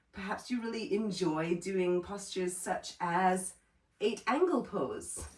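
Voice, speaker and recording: A normal speaking voice, fairly slow in pace, with ordinary pitch variation. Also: woman, medium pitch for a woman. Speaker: yoga teacher. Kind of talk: workshop instruction.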